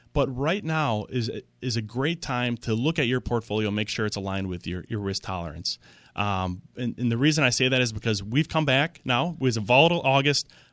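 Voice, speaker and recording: Over a quiet background, a man with a plain, everyday voice and medium pitch talks at a fairly quick pace with lively intonation. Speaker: financial advisor. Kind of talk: radio talk show. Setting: radio studio.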